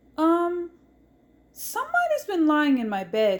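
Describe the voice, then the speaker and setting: A woman's squeaky, put-on character voice, extremely high, with very wide pitch swings and a fairly slow pace. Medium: read story.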